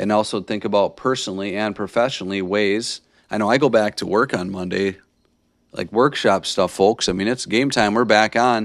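In a very clean recording with a silent background, a man with an American accent talks at a moderate pace in a normal speaking voice, fairly low in pitch and fairly even in intonation. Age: 30s. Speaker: podcast host, teacher. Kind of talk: motivational monologue. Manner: casual, many filler words.

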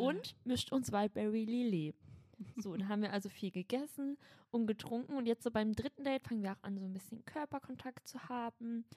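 This is a plain, everyday voice moving at a fairly quick pace. Its pitch variation is ordinary, and the sound is dry and close with no echo. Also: woman, fairly high pitch for a woman. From Berlin (Schöneberg). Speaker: podcast co-host. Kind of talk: casual chat with role-play.

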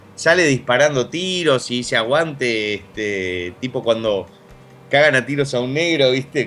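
A man's lively intonation comes through at a fairly slow pace against noticeable background noise. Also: medium pitch for a man. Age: 30s. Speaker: YouTuber and radio show host. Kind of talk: casual chat. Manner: halting with frequent fillers.

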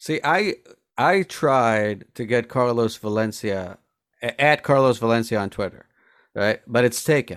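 With a normal speaking voice, a man talks fairly slowly at a medium pitch with ordinary pitch variation, in a dry, close recording with no echo and a silent background that is very clean. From Colombia, born in New Jersey. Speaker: stand-up comedian. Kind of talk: casual chat.

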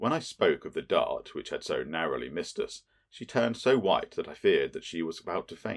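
Reading aloud, plain and simple

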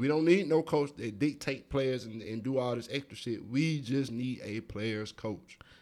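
In a very clean recording with a silent background, a man with an American accent talks at a moderate pace with hardly any pauses. His pitch is medium with ordinary variation, and he has an unremarkable speaking voice. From US South, Atlanta, Georgia. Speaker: podcast co-host. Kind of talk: casual chat.

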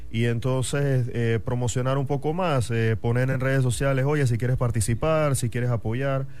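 A man speaks at a moderate pace in a medium pitch with fairly even intonation. It is an ordinary speaking voice. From Panama, Chiriquí (David). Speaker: football fan club member. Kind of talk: casual radio chat. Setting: radio studio.

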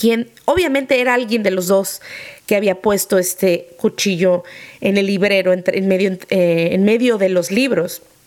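A woman speaks at a fairly slow pace and a medium pitch, with ordinary pitch variation, in an ordinary speaking voice. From Mexico. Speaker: podcast host, former nanny. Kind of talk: personal storytelling.

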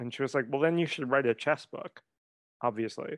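This man has an unremarkable speaking voice at medium pitch, with ordinary pitch variation, recorded dry and close with no echo against a quiet background. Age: 30s. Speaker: writing coach and memoirist. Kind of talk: casual interview conversation.

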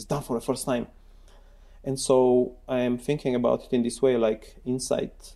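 A man with a dark, mellow tone and medium pitch talks at a moderate pace in a monotone, flat intonation. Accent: Bulgarian. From Bulgaria (Sofia). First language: Bulgarian. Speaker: computer science professor. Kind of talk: interview.

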